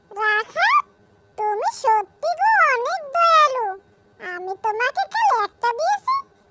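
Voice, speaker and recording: Squeaky and at an extremely high pitch, a female-sounding cartoonish character voice speaks at a very slow pace. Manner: soft, kindly.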